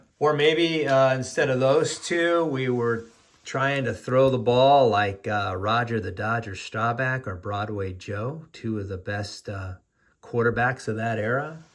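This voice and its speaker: A man with an American accent speaks at a medium pitch and a fairly slow pace. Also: ordinary pitch variation. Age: 60s. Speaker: sports card collector, YouTuber. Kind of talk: casual video monologue. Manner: hesitant, many fillers.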